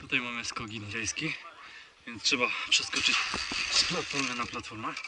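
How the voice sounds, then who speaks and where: A man talks at a moderate pace in a dry sound with no echo, against loud background noise. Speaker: rope course vlogger. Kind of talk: casual vlog commentary. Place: forest. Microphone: phone near.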